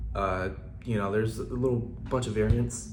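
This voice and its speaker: Audible room echo around a man's fairly quick delivery. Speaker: small business owner and social media creator. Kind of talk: informational tutorial. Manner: casual with many fillers.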